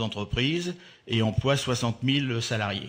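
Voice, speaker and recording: A man's voice sits at a medium pitch and shows ordinary pitch variation. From Normandy, France (Le Havre area). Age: 60s. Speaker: port business leader. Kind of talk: radio interview. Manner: halting, many hesitations.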